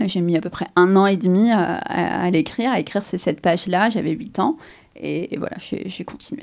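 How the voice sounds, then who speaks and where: A woman with a medium pitch and ordinary pitch variation talks at a moderate speed. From Algeria, Algiers. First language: Arabic (speaking French). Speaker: novelist. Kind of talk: interview. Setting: outdoors, museum gardens. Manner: hesitant, many repetitions and fillers.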